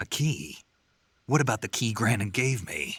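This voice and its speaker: A man's growling, put-on character voice at medium pitch, with lively intonation, a moderate pace and a dry, close sound with no echo. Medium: video game. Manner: terse, dry.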